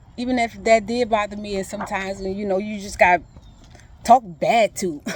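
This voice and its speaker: This woman has a South Louisiana accent. She talks at a fairly quick pace. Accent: Southern US, South Louisiana. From Thibodaux, Louisiana. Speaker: emotional recovery facilitator. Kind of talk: casual talk to camera.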